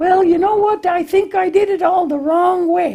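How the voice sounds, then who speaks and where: A man puts on a character voice with an extremely high pitch. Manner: bumbling, confused.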